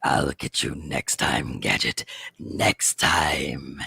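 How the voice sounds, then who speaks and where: A man in a raspy, put-on character voice speaks very slowly at a very deep, low pitch, in a dry, close sound with no echo. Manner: menacing, villainous.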